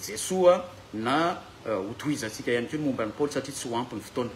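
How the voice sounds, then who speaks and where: Speaking at a very fast pace, a man with fairly high pitch and lively intonation is heard over noticeable background noise and audible room echo. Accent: Malagasy. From Madagascar. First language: Malagasy (speaking French). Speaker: bible teacher. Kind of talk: lecture. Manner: halting.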